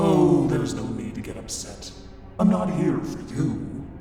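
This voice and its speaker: A man in a cartoonish character voice at a moderate pace, with strong echo and clear background noise. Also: fairly high pitch for a man. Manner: calm, softly mocking.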